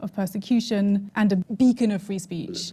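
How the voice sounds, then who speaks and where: A somewhat breathy woman's voice with a dark, mellow tone, medium pitch and fairly even intonation, in a very clean recording with a silent background. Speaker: journalist. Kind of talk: interview question.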